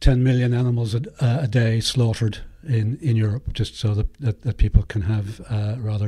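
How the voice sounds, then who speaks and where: A man speaks at a moderate pace in a dark, mellow tone with a somewhat breathy quality. His pitch sits fairly low, and his intonation stays fairly even. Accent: Northern Irish. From Northern Ireland, West Belfast. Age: 60s. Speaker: artist. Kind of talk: interview. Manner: halting.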